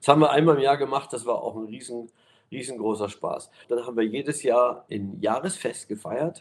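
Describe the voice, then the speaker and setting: A man with an ordinary speaking voice at a moderate pace, ordinary pitch variation and big swings in loudness. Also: medium pitch for a man. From East Germany. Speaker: pastor. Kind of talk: interview.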